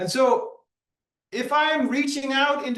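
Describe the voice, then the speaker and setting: Speaking at a fairly slow pace, a man talks with a Dutch accent. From Netherlands. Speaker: hypnotherapist. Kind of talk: conference talk.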